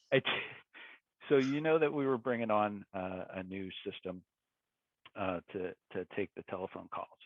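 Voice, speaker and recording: With a Philadelphia accent, a man speaks at a moderate pace in a fairly low pitch, his intonation lively and his pauses long and frequent. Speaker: tech executive. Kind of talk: casual interview.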